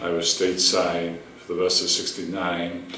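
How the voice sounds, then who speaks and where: A man with a Boston accent, a very deep, low pitch and monotone, flat intonation at a fairly slow pace, amid audible room echo and noticeable background noise. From Boston, Massachusetts. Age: 60s. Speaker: war veteran. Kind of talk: oral history interview. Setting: university room. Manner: halting, many fillers.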